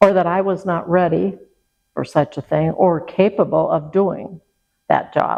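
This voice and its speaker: Vocal fry runs through a woman's fairly slow speech, delivered with monotone, flat intonation. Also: fairly low pitch for a woman. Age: 80s+. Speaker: retired university administrator. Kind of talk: oral history interview.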